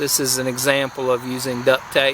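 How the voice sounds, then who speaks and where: Someone speaks in a North Georgia accent over noticeable background noise. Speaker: outdoor craft hobbyist. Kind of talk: casual tutorial demonstration. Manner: casual, halting with fillers.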